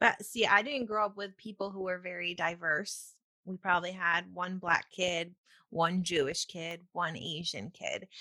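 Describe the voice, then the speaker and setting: With an American accent, a woman speaks fairly slowly in a bright, sharp tone with ordinary pitch variation. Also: medium pitch for a woman. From Upstate New York. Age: 20s. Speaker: podcast host. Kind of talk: casual chat; scripted podcast intro. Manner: energetic.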